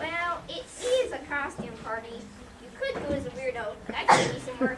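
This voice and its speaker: A put-on character voice at a high pitch and moderate pace, over loud background noise. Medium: stage play. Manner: stately, declaiming.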